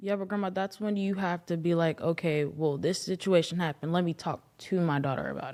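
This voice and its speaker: A woman with a plain, everyday voice speaks at a fairly low pitch and a fairly quick pace, with fairly even intonation and hardly any pauses. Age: 20s. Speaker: host's daughter. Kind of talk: emotional family conversation.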